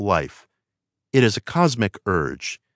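In a dry, close recording with a quiet background, a man with an unremarkable speaking voice and medium pitch talks fairly slowly with lively intonation. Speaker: audiobook narrator. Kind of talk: audiobook narration, reading aloud a self-help text. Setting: studio. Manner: measured, earnest, calm and steady; warm, persuasive, inspirational, formal.

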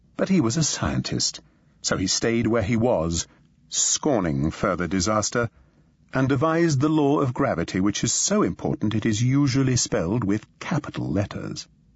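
A somewhat breathy man at a medium pitch and moderate pace, with very wide pitch swings and very even loudness. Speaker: audiobook narrator. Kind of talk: scripted audiobook narration, humorous and dramatic. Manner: animated, with asides to the listener ("pay attention now").

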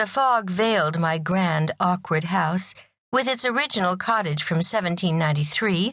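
With lively intonation, a woman speaks in a fairly low, somewhat breathy voice. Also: quiet background. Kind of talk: audiobook narration reading a novel aloud.

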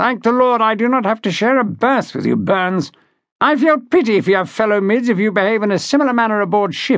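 A man's put-on character voice, high-pitched and fairly bright, with big pitch swings and a fairly quick pace.

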